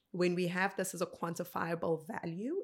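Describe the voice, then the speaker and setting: A woman speaks with a South African accent and a fairly low pitch. The recording is very clean, with a silent background. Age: 30s. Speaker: motivational speaker. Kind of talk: interview conversation. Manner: animated.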